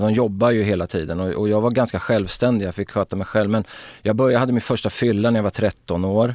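The recording is very clean, with a silent background and a dry, close sound with no echo. A man with fairly low pitch speaks at a very fast pace with fairly even intonation. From Sweden, Örebro. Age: 50s. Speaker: former footballer. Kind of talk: casual interview.

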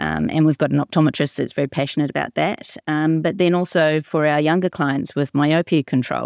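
A woman talks in a very deep, low pitch with fairly even intonation. The sound is dry and close with no echo, on a very clean recording with a silent background. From New Zealand. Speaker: dispensing optician. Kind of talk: round-table discussion.

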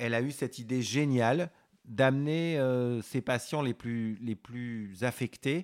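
A man speaks at a very slow pace with a medium pitch and ordinary pitch variation. The recording is very clean and dry, with a silent background, a close sound and no echo. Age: 50s. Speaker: veterinarian. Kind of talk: interview conversation. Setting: veterinary office. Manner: halting, many hesitations.

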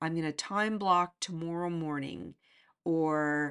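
Against a quiet background, a woman speaks at a fairly slow pace with a fairly low pitch and a warm, animated tone. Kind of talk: motivational pep talk, direct address to listeners. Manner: urgent, encouraging, emphatic, repeating phrases like 'get out of your way' and 'be open'; warm, animated, laughing, coaching tone.

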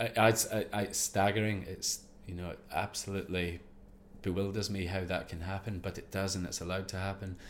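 The speaker has a Scottish accent and a moderate pace. The intonation is monotone and flat. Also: man. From Scotland, Ayrshire coast. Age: 40s. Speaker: former commando sniper and expedition safety specialist. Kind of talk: interview.

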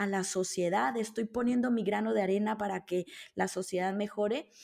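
A woman's normal speaking voice, pitched fairly high, moving at a moderate speed. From Colombia. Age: 30s. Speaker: abundance coach and author. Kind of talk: interview.

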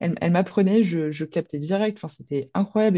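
The voice has a dark, mellow tone and ordinary pitch variation. The pace is very fast. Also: woman. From Provence, near Marseille. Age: 20s. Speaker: horse trainer and behaviourist. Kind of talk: casual interview.

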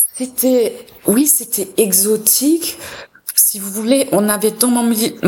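A woman's fairly high voice at a very slow pace, with ordinary pitch variation. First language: German (speaking French). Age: 40s. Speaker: cultural institute director. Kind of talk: radio interview.

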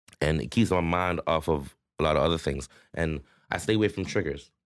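Very deep and low, a man's voice carries vocal fry and a Toronto accent at a fairly quick pace. The recording is very clean, with a silent background. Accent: Toronto urban Canadian English. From Toronto, Canada (Rexdale, Etobicoke). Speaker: rapper and entrepreneur. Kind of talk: casual interview chat.

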